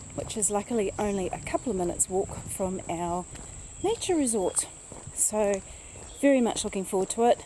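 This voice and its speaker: Music plays behind a woman speaking at a medium pitch. Her pitch varies in an ordinary way, and she leaves long, frequent pauses. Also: moderate pace. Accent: New Zealand. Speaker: travel vlogger. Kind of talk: travel vlog narration. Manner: whispering.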